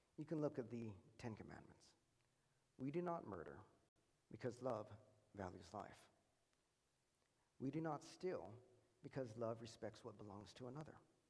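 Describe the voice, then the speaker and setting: Over audible room echo, a man talks with lively intonation. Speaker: preacher. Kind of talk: sermon. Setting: church. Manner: fast.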